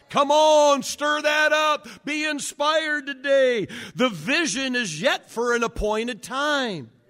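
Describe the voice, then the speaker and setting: A man's raised, projected voice at an extremely high pitch, bright and sharp in tone, very slow, with ordinary pitch variation. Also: hardly any pauses. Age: 60s. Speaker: pastor. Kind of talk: sermon. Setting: church. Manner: halting, many fillers.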